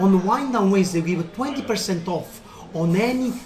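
With an Italian accent, a man speaks in an enthusiastic tone at a high pitch with ordinary pitch variation, and there is noticeable background noise. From Italy, Naples. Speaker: restaurant owner. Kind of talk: interview.

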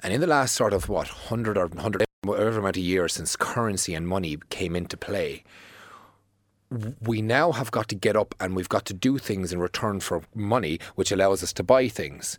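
With an Irish accent, a man talks at a moderate pace. His pitch is fairly low and varies an ordinary amount. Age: 30s. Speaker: fitness tutor. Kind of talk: casual chat.

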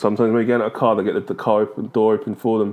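Talking at a very fast pace, the man holds a medium pitch. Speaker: podcaster. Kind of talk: comedic rant monologue. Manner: animated.

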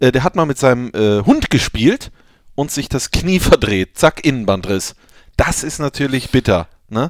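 A man with a medium pitch talks fairly slowly, leaving long, frequent pauses. His intonation is lively, and the sound is dry and close with no echo. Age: 20s. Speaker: football podcast host. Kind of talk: casual chat.

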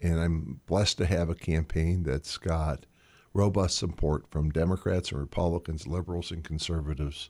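On a very clean recording with a silent background, a man with a very deep, low pitch speaks at a moderate pace and fairly even intonation. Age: 60s. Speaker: mayoral candidate and civic leader. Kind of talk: radio interview.

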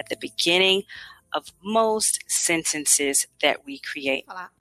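Recorded with a dry, close sound with no echo, a woman talks at a very slow pace. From USA. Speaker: English tutor. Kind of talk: language lesson.

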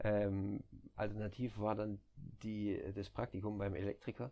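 With a quiet background behind him, a man speaks at a fairly low pitch in a dark, mellow and relaxed tone. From southern Germany, near Stuttgart. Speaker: nurse turned recruiter. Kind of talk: casual chat.

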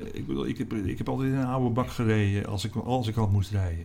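A man's fairly low voice carries lively intonation. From Netherlands, North Holland (Alkmaar/Heiloo). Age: 60s. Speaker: newspaper columnist. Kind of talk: interview. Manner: halting.

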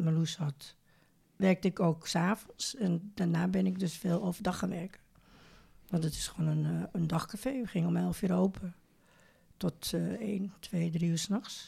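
A woman speaks fairly slowly with vocal fry and a fairly low pitch. Her tone is dark and mellow, her intonation fairly even. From Netherlands, Amsterdam. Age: 70s. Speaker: retired neighbour, grandmother. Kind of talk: casual interview. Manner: halting.

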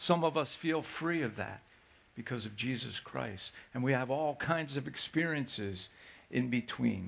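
A man talks at a medium pitch and fairly slow pace, with lively intonation, in an ordinary speaking voice. The recording is very clean, with a silent background. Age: 60s. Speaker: pastor. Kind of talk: sermon. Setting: church.

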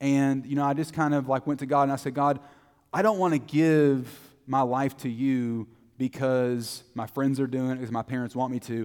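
A man in a Texan accent, medium in pitch, moderately paced, with fairly even intonation. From Texas, Terrell. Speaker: preacher. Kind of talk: sermon.

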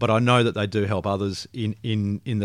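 Recorded very cleanly against a silent background, a man with an Australian accent speaks at a moderate pace, his pitch fairly low and his intonation fairly even. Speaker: financial advisor. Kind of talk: casual interview. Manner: jovial.

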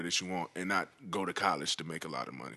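Speaking at a very fast pace, a man with a very deep, low pitch shows vocal fry and a bright, sharp tone. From US South, Georgia and eastern North Carolina. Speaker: rapper. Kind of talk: casual chat.

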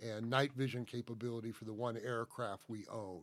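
On a very clean recording with a silent background, a man with an American accent speaks in an unremarkable speaking voice, with medium pitch and a moderate pace. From US South, Atlanta, Georgia. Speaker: state forester. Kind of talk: interview.

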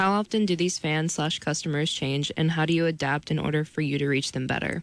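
In an American accent, the speaker talks at a fairly quick pace with fairly even intonation. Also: woman. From Ohio. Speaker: student co-host. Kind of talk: reading listener questions.

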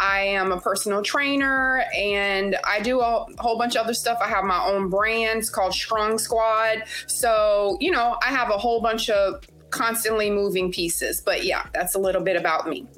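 Speaking with an American accent and a bright, sharp tone, a woman keeps a fairly high pitch, ordinary pitch variation, very even loudness and a moderate pace with hardly any pauses, amid audible room echo. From Louisiana. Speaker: nurse and personal trainer. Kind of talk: casual chat.

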